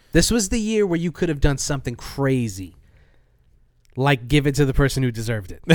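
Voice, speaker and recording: A man's fairly high voice at a fairly quick pace, with very wide pitch swings and long, frequent pauses. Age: 30s. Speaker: beer podcast co-host. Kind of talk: casual chat.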